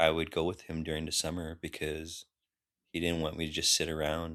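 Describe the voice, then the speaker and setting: Flat, monotone delivery at a moderate pace with a Californian accent, on a very clean recording with a silent background. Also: man. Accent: Californian American English. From US West Coast (Long Beach, California). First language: Khmer. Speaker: linguistics professor, army veteran. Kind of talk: interview conversation. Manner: halting, many fillers and restarts.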